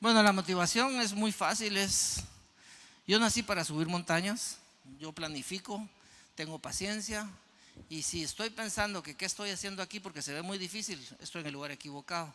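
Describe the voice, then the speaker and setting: A man's raised, projected voice, high-pitched and bright and sharp in tone, at a moderate pace, with ordinary pitch variation and big swings in loudness. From Guatemala. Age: 60s. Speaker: mountaineer and motivational speaker. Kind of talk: audience Q&A; keynote talk.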